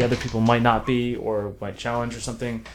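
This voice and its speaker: A man with a plain, everyday voice talks in an American accent at a medium pitch and a fairly quick pace. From South Florida then Orange County, California. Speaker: film writer and director. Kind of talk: casual interview chat.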